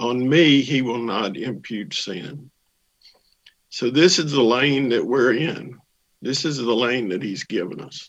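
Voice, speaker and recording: At a fairly slow pace, a man with medium pitch and ordinary pitch variation talks in an ordinary speaking voice. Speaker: church member. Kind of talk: testimony.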